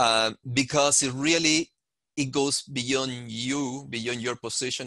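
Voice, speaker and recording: Over a quiet background, a man with a bright, sharp tone speaks at a fairly slow pace with ordinary pitch variation. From Chile. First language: Spanish. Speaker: panelist. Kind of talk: panel discussion. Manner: halting, many fillers.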